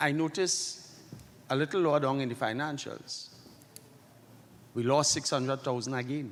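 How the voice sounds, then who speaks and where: Keeping a moderate pace, the man speaks with ordinary variation in pitch. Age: 60s. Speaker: credit union member. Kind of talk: meeting floor question. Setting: annual general meeting hall.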